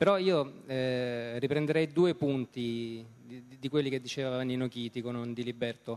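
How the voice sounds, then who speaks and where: Fairly even in intonation, this man's medium-pitched voice is a normal speaking voice. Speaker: journalist moderator. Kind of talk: moderated political debate. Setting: stage with audience.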